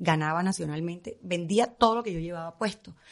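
Ordinary pitch variation from a woman over a quiet background. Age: 50s. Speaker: fashion stylist. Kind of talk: casual chat. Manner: fast.

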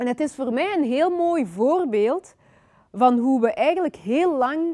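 A woman's lively intonation comes at a fairly slow pace over a quiet background. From Belgium (Flanders), born in Congo. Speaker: author. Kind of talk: lecture. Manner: hesitant, with many fillers.

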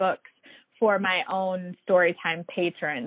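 Speaking at a fairly slow pace, a woman has a normal speaking voice pitched in the medium range. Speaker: librarian. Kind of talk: interview.

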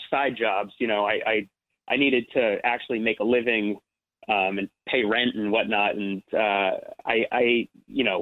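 A man talks with an American accent. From New Jersey. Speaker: actor. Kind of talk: interview. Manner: halting.

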